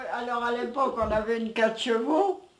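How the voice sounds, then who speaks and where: A high-pitched woman talks with fairly even intonation in a room with audible echo and noticeable background noise. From France, Aisne (Picardy), village near Reims. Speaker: elderly villager, interviewee. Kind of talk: casual reminiscing interview.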